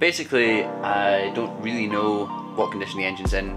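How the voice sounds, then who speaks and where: A man at a fairly low pitch, with music clearly heard in the background. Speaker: motorbike restorer vlogger. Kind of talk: casual vlog chat. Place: workshop. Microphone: phone near.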